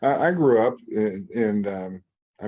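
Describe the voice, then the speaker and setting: A man's fairly low-pitched, normal speaking voice with fairly even intonation. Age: 60s. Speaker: podcast host. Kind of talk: interview.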